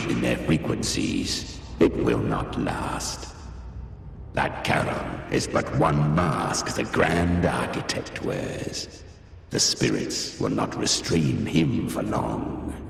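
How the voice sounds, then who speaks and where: A man uses a put-on character voice at a fairly slow pace. A strong echo surrounds his speech. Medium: machinima. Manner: cold, gloating.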